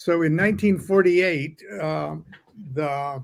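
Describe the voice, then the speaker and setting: A man with an American accent at a very slow pace, fairly high in pitch, with ordinary pitch variation. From Southern California. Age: 70s. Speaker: occult author and singer-songwriter. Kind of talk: interview.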